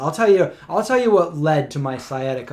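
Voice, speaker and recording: An animated tone with an American accent. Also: man. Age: 40s. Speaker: vegan lifestyle YouTuber. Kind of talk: casual livestream chat.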